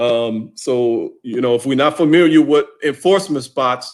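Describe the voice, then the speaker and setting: A man with a normal speaking voice, moderate pace and ordinary pitch variation. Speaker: football officiating instructor. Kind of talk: online training session.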